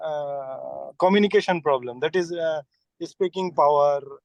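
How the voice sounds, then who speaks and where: With a Bengali accent, a man speaks at a fairly high pitch and a fairly even intonation, in a dry, close sound with no echo. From West Bengal, India. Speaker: engineer and student. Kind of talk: audience question. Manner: halting.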